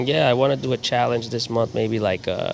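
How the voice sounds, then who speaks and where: At a moderate pace, a man speaks in a New York accent. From New York, Queens. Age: 30s. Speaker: animal-loving charity advocate. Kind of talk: casual interview chat.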